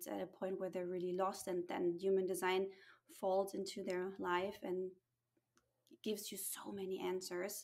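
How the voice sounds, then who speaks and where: A woman's medium-pitched voice carries an American accent. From USA and Germany. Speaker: human design guide and mentor. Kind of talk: casual interview chat.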